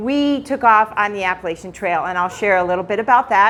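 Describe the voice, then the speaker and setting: Her pitch fairly high and its variation ordinary, a woman talks in an unremarkable speaking voice. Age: 60s. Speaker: retired teacher sharing testimony in church. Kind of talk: church talk / testimony. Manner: casual, conversational.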